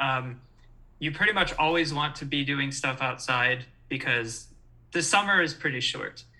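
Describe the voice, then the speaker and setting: A man with a Midwestern American accent, fairly high-pitched, with a bright, sharp tone and a fairly slow pace. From Michigan, East Lansing. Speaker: former university student and sports fan. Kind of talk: casual chat. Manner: halting, many fillers.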